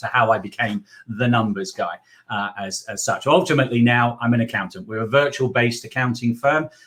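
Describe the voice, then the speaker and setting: A medium-pitched man with an English accent. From England. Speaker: accountant and business mentor. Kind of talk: interview.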